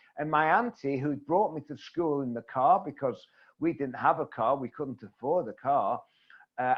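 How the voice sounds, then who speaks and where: This man has an English accent and a fairly high pitch. He talks at a moderate pace. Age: 70s. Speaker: networking coach. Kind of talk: interview.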